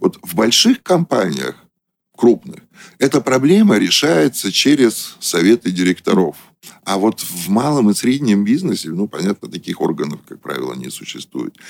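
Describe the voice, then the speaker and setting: Vocal fry marks this man's voice. The pitch rises and falls over a very wide range. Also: medium pitch for a man, moderate pace, big swings in loudness. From Russia, moved around the Soviet Union as a military child. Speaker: business consultant and company director. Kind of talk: radio interview.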